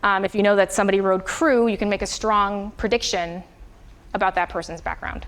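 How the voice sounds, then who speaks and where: A woman's fairly even intonation stays at a medium pitch while her words come at a fairly quick pace. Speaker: university lecturer. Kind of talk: lecture. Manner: fast.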